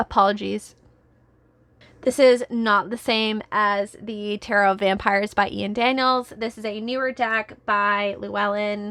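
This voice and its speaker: A woman at a fairly high pitch, fairly slow and monotone with flat intonation, in a very clean recording over a silent background. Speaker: tarot content creator. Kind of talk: casual vlog review. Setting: filming at home.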